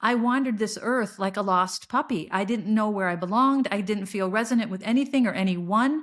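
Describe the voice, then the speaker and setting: A woman speaks with a fairly high pitch and ordinary pitch variation on a very clean recording with a silent background. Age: 60s. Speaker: podcast host. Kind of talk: personal monologue. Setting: solo recording at laptop. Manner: repetitive, halting restarts.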